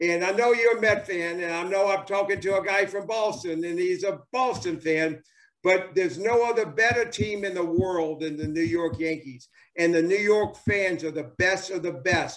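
In an American accent, a man talks at a moderate pace with a high pitch and ordinary pitch variation, set against a quiet background. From US South. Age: 70s. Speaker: former professional baseball player. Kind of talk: interview. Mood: enthusiastic, nostalgic. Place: home room. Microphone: video call.

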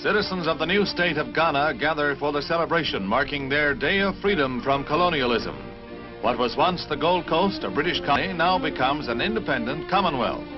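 Over music in the background, the voice moves at a fairly quick pace with lively intonation and very even loudness. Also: man, fairly high pitch for a man. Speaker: newsreel narrator. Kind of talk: newsreel narration.

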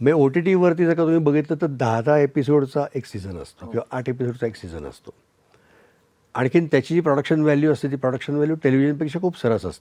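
With a dark, mellow tone, a man speaks at a fairly high pitch, his loudness swinging widely. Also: ordinary pitch variation. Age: 60s. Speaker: writer, director and producer. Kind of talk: interview.

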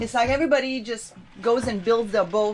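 A woman's voice against light background noise. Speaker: sailing vlogger. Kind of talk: casual vlog chat. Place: boat. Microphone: phone near.

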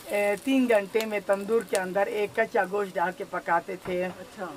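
A woman speaks at a fairly slow pace with fairly even intonation. Light background noise sits behind her. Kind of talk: interview answer while cooking. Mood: friendly, proud. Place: kitchen. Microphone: camera far.

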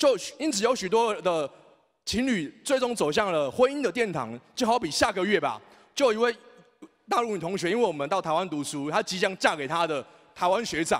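A man's high voice with very wide pitch swings, a fairly quick pace, and a quiet background. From Taiwan, Taipei; Taiwan. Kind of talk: speech. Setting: stage with audience. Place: hall. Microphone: handheld.

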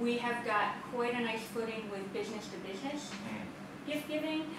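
Audible room echo and noticeable background noise surround a woman who speaks at a moderate pace with ordinary pitch variation. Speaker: home bakery business owner. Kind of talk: interview. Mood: warm, enthusiastic. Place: kitchen.

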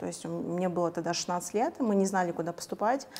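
With ordinary pitch variation, a woman moves along at a fairly quick pace. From Kazakhstan. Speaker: hair colorist and coach. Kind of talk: interview. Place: studio. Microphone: lapel.

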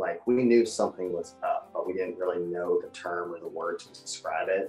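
A man talks at a moderate pace with faint music in the background. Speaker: interviewee. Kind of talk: interview answer. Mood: reflective, personal. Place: home room.

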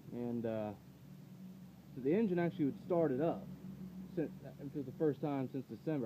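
Noticeable background noise sits behind a man's dark, mellow voice. He speaks at a moderate pace. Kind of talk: casual storytelling narration. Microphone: phone near.

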